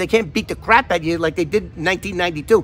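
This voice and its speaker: With an American accent, a man uses a raised, projected voice, a bright, sharp tone and lively intonation. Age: 60s. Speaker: vlogger, former FBI informant. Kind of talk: casual vlog talk. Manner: animated.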